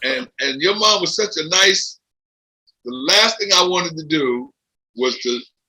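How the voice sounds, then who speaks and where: The voice has an American accent and an animated tone. It also sounds bright and sharp. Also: man. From Philadelphia, US East Coast. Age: 70s. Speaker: former boxing and MMA event handler. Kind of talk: podcast interview.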